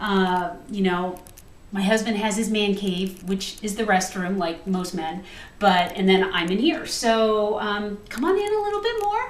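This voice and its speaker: A woman with an American accent speaks at medium pitch, at a fairly slow pace and with fairly even intonation. Noticeable background noise and audible room echo are present. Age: 40s. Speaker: home cook and retiring police officer. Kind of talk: cooking video. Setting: home kitchen. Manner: chatty.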